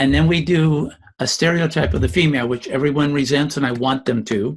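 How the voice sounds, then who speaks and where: The man's voice is somewhat breathy and fairly high in pitch. He talks at a fairly quick pace with ordinary pitch variation. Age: 70s. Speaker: educator and communication trainer. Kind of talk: interview.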